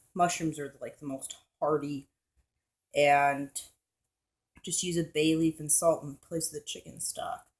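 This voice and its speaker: Speaking at a fairly slow pace with long, frequent pauses, a woman uses a very deep, low pitch in a monotone, flat intonation, with big swings in loudness. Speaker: home cooking vlogger. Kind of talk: cooking tutorial. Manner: casual, rambling.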